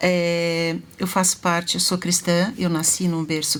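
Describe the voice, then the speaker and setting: This is an unremarkable speaking voice moving at a fairly slow pace. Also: woman. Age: 60s. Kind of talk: live talk show interview.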